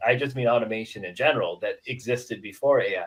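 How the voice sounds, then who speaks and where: Here a man talks with a Midwestern accent. His pace is fairly quick. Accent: Midwestern, noted as close to Canadian. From US Midwest, Dubuque, Iowa. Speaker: HVAC software company representative. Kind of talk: casual podcast interview.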